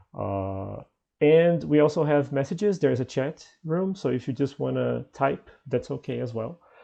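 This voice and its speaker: A man talks at a moderate pace. Nothing stirs in the quiet background. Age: 20s. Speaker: English teacher and host. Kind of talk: online conversation class. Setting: video call.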